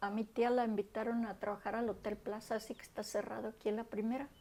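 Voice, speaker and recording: Dark and mellow in tone, the voice moves at a fairly quick pace with monotone, flat intonation. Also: woman. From Jalisco, Mexico. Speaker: grandmother. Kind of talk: interview answer.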